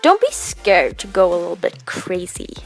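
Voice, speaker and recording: Music plays in the background behind a speaker with a Swedish accent. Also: woman. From Sweden. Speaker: makeup artist / beauty YouTuber. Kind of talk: makeup tutorial voice-over.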